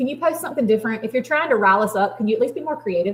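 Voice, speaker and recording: An animated woman's voice with a Southern US accent, fairly high in pitch with ordinary variation, against noticeable background noise. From US South. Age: 40s. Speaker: craft business livestreamer. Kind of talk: live stream chat with viewers. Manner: fast.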